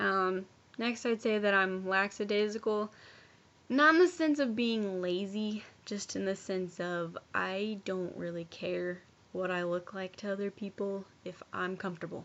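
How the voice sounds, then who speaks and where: Her pitch sits in the medium range and varies in an ordinary way as a woman talks fairly slowly. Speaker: college student. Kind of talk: personal video presentation. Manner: loud.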